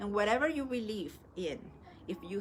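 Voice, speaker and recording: In a Spanish accent, a woman talks at a moderate pace. Her pitch varies in an ordinary way. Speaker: spiritual teacher. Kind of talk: live stream talk. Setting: live stream. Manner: halting.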